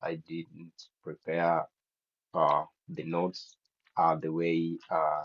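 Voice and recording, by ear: Slow in pace, a man talks with a low pitch in a dry, close sound with no echo.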